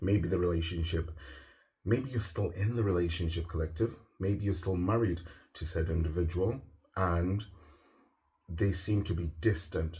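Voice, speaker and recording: A man's very deep, low voice at a moderate pace, somewhat breathy, with fairly even intonation and long, frequent pauses. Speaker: tarot reader. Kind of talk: tarot reading.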